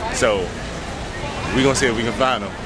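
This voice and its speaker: The man's voice is dry with no echo, set against loud background noise. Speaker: vlogger. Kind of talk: casual vlog chat. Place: street. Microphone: phone near.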